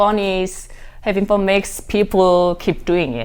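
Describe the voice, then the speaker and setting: A woman with a Korean accent talks at a fairly slow pace and a medium pitch. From South Korea, Daegu. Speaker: dancer. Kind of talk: casual interview. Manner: halting.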